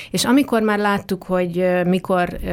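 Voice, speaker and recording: In a very clean recording with a silent background, a woman speaks at a moderate pace in a fairly low pitch. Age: 40s. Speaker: dance artist and arts organization leader. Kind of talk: interview. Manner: hesitant with fillers.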